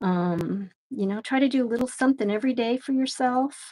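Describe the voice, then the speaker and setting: This somewhat breathy voice has a dark, mellow tone and ordinary pitch variation. It moves at a moderate pace on a very clean recording with a silent background. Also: woman. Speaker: artist streaming a live drawing session. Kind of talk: casual live-stream chat while drawing. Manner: casual, chatty with fillers.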